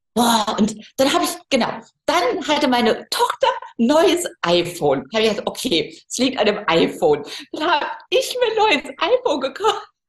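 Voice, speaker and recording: Her pitch swings very widely, sitting high for a woman. The woman's tone is animated. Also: moderate pace. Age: 50s. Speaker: photographer. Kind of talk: casual interview.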